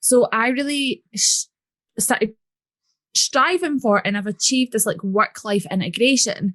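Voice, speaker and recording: A woman with a Scottish accent at a fairly high pitch and fairly slow pace, lively in intonation, with a dry, close sound with no echo and a quiet background. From Scotland. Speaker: business coach. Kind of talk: podcast interview. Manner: casual.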